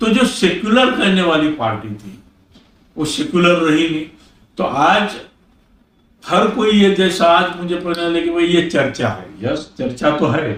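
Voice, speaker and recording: A man talks at a high pitch with very wide pitch swings. Room echo is audible. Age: 70s. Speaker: former member of parliament, politician. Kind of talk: interview.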